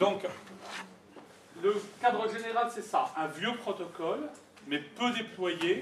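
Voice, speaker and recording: At a fairly slow pace, a man talks with ordinary pitch variation amid noticeable background noise and audible room echo. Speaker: conference speaker on network security. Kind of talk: lecture.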